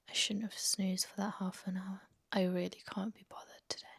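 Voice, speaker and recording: Whispering, a woman talks at a fairly quick pace. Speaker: lifestyle vlogger. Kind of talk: casual vlog chat.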